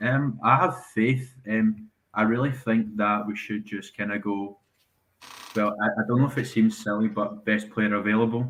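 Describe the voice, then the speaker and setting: A man with a Scottish accent talks at a moderate pace, his intonation fairly even. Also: fairly low pitch for a man. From Scotland. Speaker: caller, fan. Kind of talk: casual chat. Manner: hesitant, many fillers.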